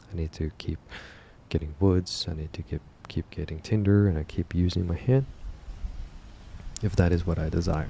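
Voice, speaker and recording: Soft-spoken and somewhat breathy, a man talks in a very deep, low voice with a dark, mellow tone and long, frequent pauses. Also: ordinary pitch variation, moderate pace. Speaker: reflection channel host. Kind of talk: spoken reflection.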